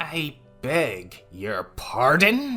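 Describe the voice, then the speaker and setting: A growling, put-on character voice at a middle pitch swings very widely in pitch over faint music in the background. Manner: through gritted teeth, irritated.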